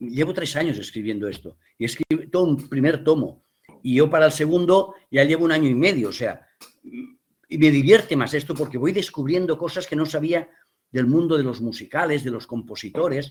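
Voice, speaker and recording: This man speaks at a moderate pace with a fairly high pitch and lively intonation. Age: 60s. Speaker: theatre director and playwright. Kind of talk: interview. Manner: animated.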